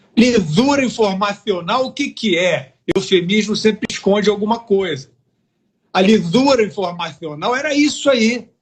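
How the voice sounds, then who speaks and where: A man speaks in an animated tone, his voice high-pitched for a man. His pace is fairly slow and his intonation lively. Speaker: political commentator. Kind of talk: heated debate.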